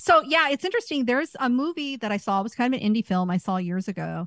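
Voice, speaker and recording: A woman's somewhat breathy voice carries lively intonation, with a dry, close sound with no echo on a very clean recording with a silent background. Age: 40s. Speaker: podcast co-host. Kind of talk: casual chat.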